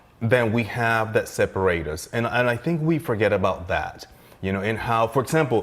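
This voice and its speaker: With a Spanish accent, a man speaks at a fairly quick pace in a medium pitch with lively intonation. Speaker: chef. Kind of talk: casual chat; cooking demonstration.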